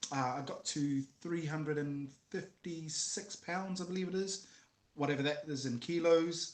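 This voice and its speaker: Here is a man with a New Zealand accent. His fairly high voice keeps a fairly even intonation. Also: moderate pace. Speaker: former MMA fighter and musician. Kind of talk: casual interview chat.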